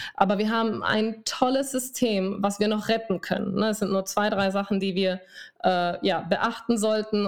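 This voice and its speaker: An animated woman at a moderate pace and fairly high pitch, on a very clean recording with a silent background. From Spain. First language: Spanish (speaking German). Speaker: dermatologist and telemedicine founder. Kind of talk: interview.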